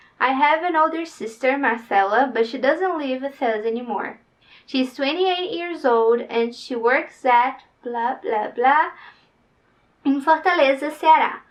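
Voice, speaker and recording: With a Brazilian Portuguese accent, a high-pitched woman speaks at a fairly slow pace with lively intonation. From Brazil, northeast. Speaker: vlogger, future au pair. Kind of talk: reading aloud her written application; casual vlog talk.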